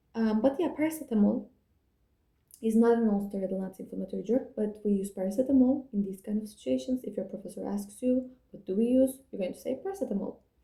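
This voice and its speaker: A woman talks at a very fast pace in a fairly high pitch, with ordinary pitch variation. Her somewhat breathy voice has a dark, mellow tone and big swings in loudness. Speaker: student revision video maker. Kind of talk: revision tutorial.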